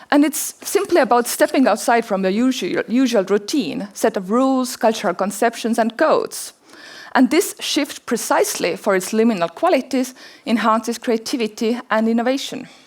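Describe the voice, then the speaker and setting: A woman with an Estonian accent speaks at a moderate pace, her high pitch carrying lively intonation and very even loudness. Noticeable background noise runs underneath. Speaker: anthropologist and documentary filmmaker. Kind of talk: conference talk; audience Q&A answer. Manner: halting, repeats words.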